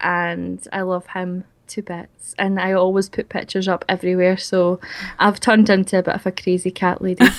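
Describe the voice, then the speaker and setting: A woman's medium-pitched, monotone, flat delivery at a moderate pace, on a very clean recording with a silent background. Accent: strong Scottish. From Scotland. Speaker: YouTuber, game video creator. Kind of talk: interview.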